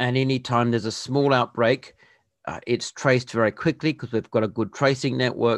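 A man with an Australian accent, medium pitch, fairly even intonation and a fairly quick pace, in a dry, close sound with no echo and a quiet background. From Western Australia. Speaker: podcast interviewer. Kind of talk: casual interview.

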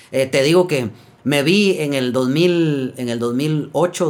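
With a Guatemalan accent, a man speaks at a fairly high pitch with ordinary pitch variation. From Guatemala, Quetzaltenango / San Felipe Retalhuleu. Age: 40s. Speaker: folk singer-songwriter. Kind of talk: casual chat. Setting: in-person studio recording.

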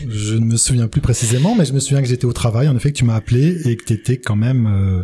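Very fast and somewhat breathy, a man speaks at medium pitch with a dark, mellow tone. His pitch varies in an ordinary way. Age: 50s. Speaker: father of twins. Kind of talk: testimony. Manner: halting.

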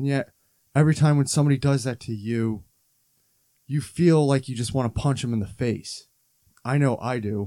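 A man's medium-pitched voice with a dark, mellow tone, ordinary pitch variation, a moderate pace and long, frequent pauses. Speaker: podcast host. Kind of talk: angry rant. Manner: heated, worked-up, swearing, frustrated.

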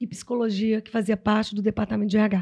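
A woman with a fairly high pitch and a dark, mellow tone, recorded very cleanly against a silent background. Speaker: HR consultant and psychologist. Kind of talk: podcast interview.

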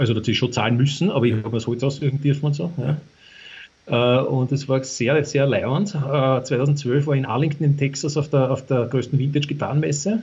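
Somewhat breathy speech at a fairly quick pace with hardly any pauses. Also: man, fairly high pitch for a man, ordinary pitch variation. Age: 50s. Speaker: former motorcycle racer. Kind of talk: casual interview. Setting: remote call from country house. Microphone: poor internet connection.

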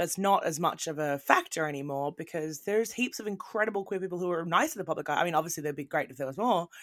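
In a very clean recording with a silent background, a woman with an Australian accent speaks very fast at a fairly low pitch. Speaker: podcast host. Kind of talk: casual chat. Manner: animated.

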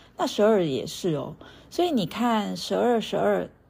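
This woman speaks at a medium pitch. Her pitch swings very widely. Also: very clean recording, silent background. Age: 40s. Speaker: meditation and yoga teacher, podcast host. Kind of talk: solo podcast talk on astrology and mindfulness.

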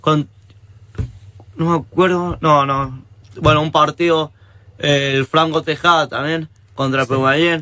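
A man's fairly high, bright, sharp voice in a monotone, flat delivery, fairly slow, with long, frequent pauses. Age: 20s. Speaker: young rugby player. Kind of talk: casual interview.

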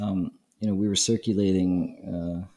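A man with an American accent, a very deep, low pitch, a dark, mellow tone and fairly even intonation. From Brooklyn, New York. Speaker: podcast host, conference founder. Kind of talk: interview conversation. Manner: halting, filler-heavy.

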